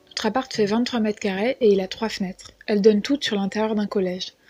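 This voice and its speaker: A woman with fairly high pitch has a dark, mellow tone. She speaks at a fairly quick pace with monotone, flat intonation. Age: 20s. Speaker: podcast contributor. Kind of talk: personal testimony.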